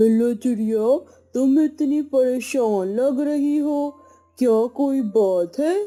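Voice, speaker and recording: A cartoonish, female-sounding character voice, high-pitched and very slow, with faint music in the background. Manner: gentle, helpful.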